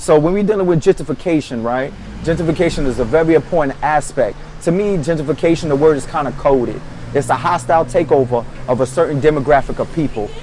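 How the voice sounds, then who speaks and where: Noticeable background noise surrounds a man speaking. He talks at a very fast pace with ordinary pitch variation. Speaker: podcast co-host. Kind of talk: casual discussion.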